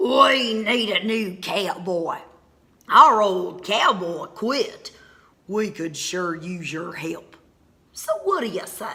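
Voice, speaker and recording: Putting on a growling, gruff character voice, a female-sounding speaker drags along at a very slow pace at a medium pitch for a woman. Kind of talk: children's read-aloud character voice. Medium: read story.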